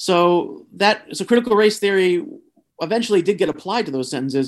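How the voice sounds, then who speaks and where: Over a silent background in a very clean recording, a man talks at a very fast pace with lively intonation. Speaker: free speech lawyer. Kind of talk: casual chat.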